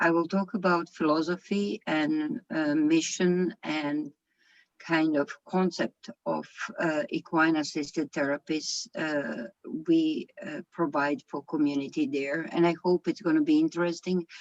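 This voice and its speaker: With a non-native accent, a woman speaks at a fairly slow pace and fairly low pitch with ordinary pitch variation, in a dry, close sound with no echo. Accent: foreign accent, own remark. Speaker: equestrian program founder and riding instructor. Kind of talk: lecture. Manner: halting, many fillers.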